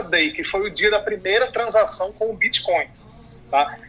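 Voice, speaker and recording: There is noticeable background noise. A man speaks with lively intonation. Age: 30s. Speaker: fintech executive, crypto expert. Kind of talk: interview. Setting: remote recording over computer.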